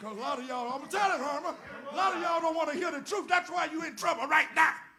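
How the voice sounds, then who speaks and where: A man talks very fast in an extremely high, raised, projected voice with a bright, sharp tone, ordinary pitch variation and big swings in loudness. Crowd noise and audible room echo fill the background. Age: 70s. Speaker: former state senator and guest speaker. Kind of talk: sermon. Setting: church. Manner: animated.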